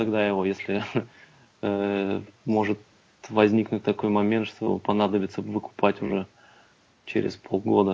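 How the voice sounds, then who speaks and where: With a fairly low pitch, a man keeps to a moderate pace as he talks. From Russia, Kursk. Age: 20s. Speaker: football fan, amateur team captain. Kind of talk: casual chat.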